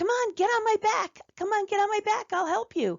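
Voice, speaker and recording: This is a put-on character voice, squeaky in sound. Its pitch is extremely high. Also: moderate pace. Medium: read story.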